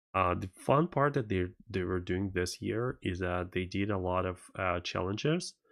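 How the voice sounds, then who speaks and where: A man with a Russian accent speaks at a moderate pace in a very deep, low voice. His pitch variation is ordinary, and the background is quiet. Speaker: tech streamer. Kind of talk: live stream commentary. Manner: halting, many fillers.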